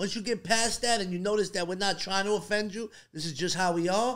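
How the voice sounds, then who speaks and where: A man's high-pitched voice at a fairly quick pace, with ordinary pitch variation and a quiet background. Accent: Brooklyn. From Coney Island, Brooklyn; New York. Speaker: rapper; podcast guest. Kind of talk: casual chat. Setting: studio. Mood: relaxed, friendly. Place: studio. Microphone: studio mic.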